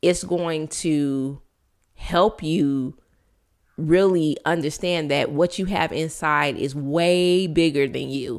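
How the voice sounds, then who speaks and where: Very slow and raspy, a woman speaks with a very deep, low pitch. Her intonation stays fairly even. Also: very clean recording, silent background. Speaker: podcast host. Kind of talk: solo inspirational monologue.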